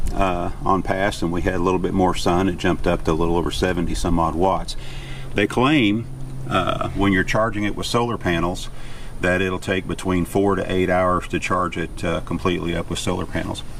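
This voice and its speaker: Over noticeable background noise and audible room echo, a man with a very deep, low pitch talks at a fairly quick pace with fairly even intonation. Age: 70s. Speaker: YouTube vlogger, van lifer. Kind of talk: product review demonstration. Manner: casual, many filler 'uh's.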